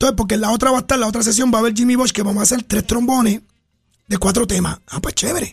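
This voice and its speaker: A man with a high pitch talks at a very fast pace and with fairly even intonation. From Puerto Rico, Trujillo Alto. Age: 60s. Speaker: trombonist. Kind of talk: radio interview. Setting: radio studio.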